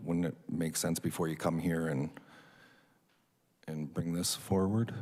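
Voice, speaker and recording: The man mumbles at a fairly slow pace. His very deep, low voice keeps a fairly even intonation. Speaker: city councillor. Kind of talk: council meeting questioning. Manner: mumbling.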